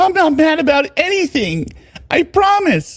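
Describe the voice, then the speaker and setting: A man puts on a squeaky character voice at an extremely high pitch, talking at a moderate pace. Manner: mock-calm, insincere.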